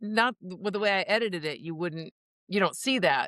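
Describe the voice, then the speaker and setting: A woman with a bright, sharp tone talks at a fairly quick pace with ordinary pitch variation, the sound dry and close with no echo. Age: 60s. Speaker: documentary filmmaker. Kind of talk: casual chat.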